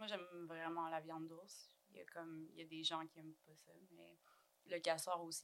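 At a moderate pace, the voice stays monotone and flat while its loudness swings widely. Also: woman, fairly low pitch for a woman. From Quebec, Cree community of Waswanipi. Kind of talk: casual chat.

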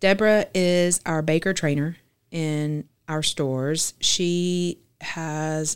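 A woman with a Southern US accent speaks very slowly in a very deep, low voice with fairly even intonation. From Arkansas (Fort Smith). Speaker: grocery chain bakery-deli executive. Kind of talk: casual interview.

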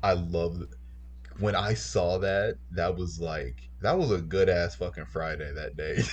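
Deep and very low in pitch, a man with an American accent talks at a fairly slow pace with vocal fry, ordinary pitch variation, and audible room echo. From Chicago, north side. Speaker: college student, friend of hosts. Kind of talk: casual chat.

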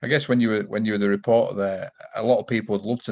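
A man with a Yorkshire accent, very fast and monotone, with flat intonation. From Yorkshire, England. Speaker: podcast host. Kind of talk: casual interview.

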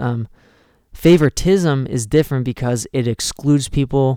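Here is a man with an unremarkable speaking voice at a medium pitch. His pace is moderate. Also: dry, close sound with no echo. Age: 20s. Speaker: youth pastor. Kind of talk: youth group talk. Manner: frequent filler words.

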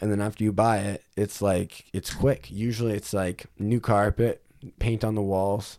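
A man's normal speaking voice, fairly low in pitch, with fairly even intonation at a moderate pace. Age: 20s. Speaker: realtor. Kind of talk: casual chat.

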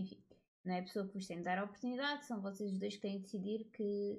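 Somewhat breathy, a woman speaks at a moderate pace with a medium pitch and fairly even intonation. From Portugal. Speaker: podcaster. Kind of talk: casual monologue. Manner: informal, with frequent fillers.

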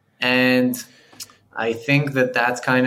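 Here a man speaks at a very slow pace. His voice sits at a medium pitch. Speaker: podcast host. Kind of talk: casual interview.

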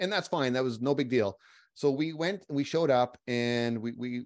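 A man with an unremarkable speaking voice talks at a moderate pace with ordinary pitch variation against a quiet background. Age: 40s. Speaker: military warrant officer. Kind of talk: interview storytelling. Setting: remote recording.

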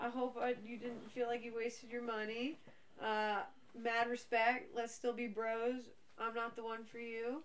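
Against noticeable background noise, a woman speaks in a fairly high pitch with a monotone, flat intonation. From Portuguese heritage. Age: 30s. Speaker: schoolteacher and podcast co-host. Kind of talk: casual chat.

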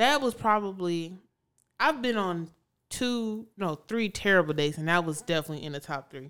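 An unremarkable speaking voice, a woman's, comes with an American accent and a medium pitch. She talks at a moderate pace with lively intonation in a very clean recording with a silent background. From Chicago. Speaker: podcast co-host. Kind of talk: casual chat.

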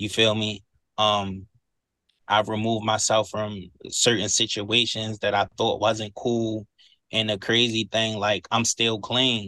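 At a fairly slow pace over a quiet background, the speech runs in a flat monotone. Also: man. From Baltimore, Maryland (South Baltimore). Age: 30s. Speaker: recovering addict, recovery house manager. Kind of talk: casual interview, recovery testimony.

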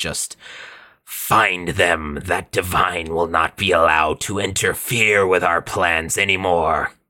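A man does a raspy put-on character voice, very deep and low in pitch, speaking at a fairly slow pace with fairly even intonation. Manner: menacing, commanding.

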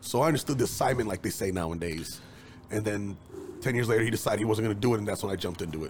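With an American accent, a man talks at a very fast pace in a somewhat breathy, fairly low voice with ordinary pitch variation. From East Chicago, Indiana. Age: 30s. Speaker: videographer. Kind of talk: casual chat.

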